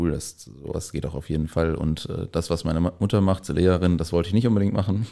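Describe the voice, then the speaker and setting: Here is a man with a very deep, low pitch and a dark, mellow tone. His pitch varies in an ordinary way. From East Westphalia, Germany (Lippe area). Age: 20s. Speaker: startup founder and designer. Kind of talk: podcast interview. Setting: studio room with blankets to dampen echo.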